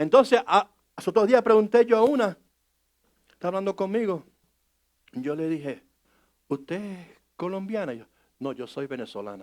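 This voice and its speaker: A man speaks at a high pitch, with very wide pitch swings. He leaves long, frequent pauses. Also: moderate pace. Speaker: pastor. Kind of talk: sermon. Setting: church service. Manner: conversational, engages congregation; halting, many restarts.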